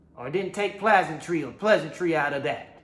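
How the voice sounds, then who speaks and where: A man's high-pitched, animated voice with lively intonation at a fairly slow pace, amid audible room echo and noticeable background noise. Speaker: religious teacher. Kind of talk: sermon.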